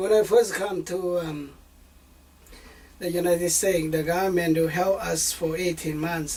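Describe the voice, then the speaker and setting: A fairly high-pitched man's voice with a Southeast Asian accent, monotone and flat, at a moderate pace over noticeable background noise. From northern Laos. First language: Hmong. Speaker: refugee and bilingual translator. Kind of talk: family interview. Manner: halting, many fillers.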